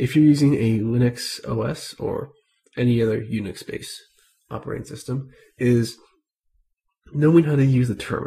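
Speaking at a moderate pace with long, frequent pauses, a man uses a somewhat breathy, medium-pitched voice with ordinary pitch variation. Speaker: Linux tutorial creator. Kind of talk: screen-recorded tech tutorial. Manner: casual, conversational.

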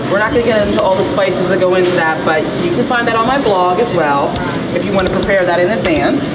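Over loud background noise, a woman talks at a very fast pace. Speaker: cooking demo host. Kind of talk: cooking demonstration. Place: shop.

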